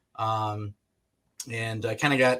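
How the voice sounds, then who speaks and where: A man with a bright, sharp tone in a very clean recording with a silent background. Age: 30s. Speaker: real estate agent. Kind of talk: interview. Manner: halting, many fillers.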